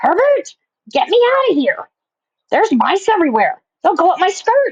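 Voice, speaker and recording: A put-on character voice, shrill and shouting at an extremely high pitch, at a moderate pace with long, frequent pauses. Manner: screaming.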